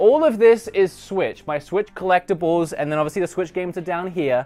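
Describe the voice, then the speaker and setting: A man with a high pitch, ordinary pitch variation and an Australian accent. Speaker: gaming YouTuber. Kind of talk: casual room tour vlog. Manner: casual, chatty.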